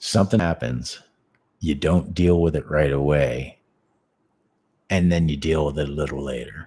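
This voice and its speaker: A man speaks in a very deep, low pitch with vocal fry and a dark, mellow tone. His pace is moderate and his pitch variation ordinary. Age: 50s. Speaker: martial arts teacher. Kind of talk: casual chat. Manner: halting.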